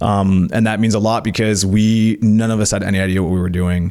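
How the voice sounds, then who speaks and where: With an ordinary speaking voice, a man talks at a fairly quick pace, fairly low in pitch and with ordinary pitch variation. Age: 30s. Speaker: entrepreneur and race car driver. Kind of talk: casual interview chat.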